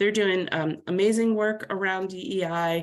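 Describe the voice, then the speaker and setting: Her medium-pitched voice shows ordinary pitch variation as the woman speaks. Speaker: workforce development leader. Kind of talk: webinar presentation. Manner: fast.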